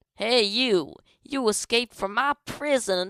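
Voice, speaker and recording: Using a put-on character voice, a woman talks at a fairly high pitch and a fairly slow pace. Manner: confrontational.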